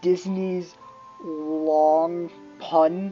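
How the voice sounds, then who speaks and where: Over music in the background, a woman speaks in a monotone, flat intonation. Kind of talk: reading a fantasy story aloud with casual asides. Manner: stumbling over words, yawning.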